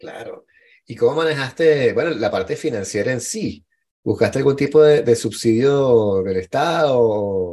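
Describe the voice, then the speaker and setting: A man with a Venezuelan accent talks at a fairly slow pace, his medium-pitched voice dark and mellow in tone. His intonation is lively, and his loudness swings widely. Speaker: podcast host. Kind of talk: casual chat.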